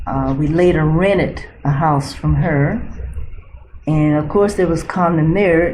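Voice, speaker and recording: Speaking very slowly in an American accent, a woman has a fairly low pitch and ordinary pitch variation, with audible room echo around her. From central Florida. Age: 70s. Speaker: retired nurse. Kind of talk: oral history interview. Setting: library.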